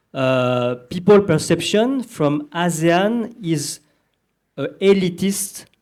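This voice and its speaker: The speaker has a French accent and lively intonation. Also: man. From southern France. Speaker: panelist. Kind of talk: panel discussion. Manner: halting, many fillers.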